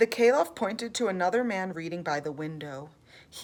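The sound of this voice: The speaker uses an unforced reading voice. Nothing else stands out.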